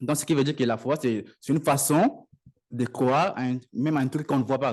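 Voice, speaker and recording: His pitch is medium. The man talks at a fairly quick pace. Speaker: lay preacher. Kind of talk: sermon. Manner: halting.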